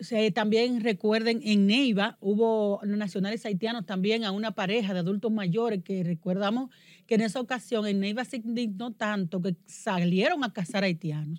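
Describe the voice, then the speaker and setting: A woman speaks in a normal speaking voice with a fairly high pitch and ordinary pitch variation. Her moderate pace has hardly any pauses, on a very clean recording with a silent background. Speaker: podcast host. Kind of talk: news commentary chat.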